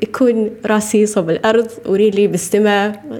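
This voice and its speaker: The voice belongs to a woman. Noticeable background noise sits under her speech. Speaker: podcast host, nutrition coach. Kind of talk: casual monologue.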